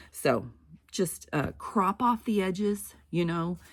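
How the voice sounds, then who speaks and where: A woman speaks. Her voice has vocal fry. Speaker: crafting YouTuber. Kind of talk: casual tutorial.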